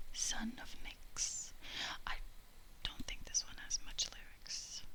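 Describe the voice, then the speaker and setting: A very slow whisper amid noticeable background noise. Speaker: ASMR creator. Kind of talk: casual ASMR talk to camera. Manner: soft-spoken, whispered.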